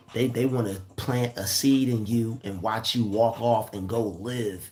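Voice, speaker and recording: Music plays in the background. The voice moves at a fairly slow pace with fairly even intonation. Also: man. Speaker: YouTuber giving motivational talks. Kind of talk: livestream monologue. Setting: live stream. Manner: repetitive, stammering; casual.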